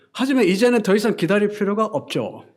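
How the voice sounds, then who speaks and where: A man is heard with audible room echo. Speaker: pastor. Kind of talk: sermon.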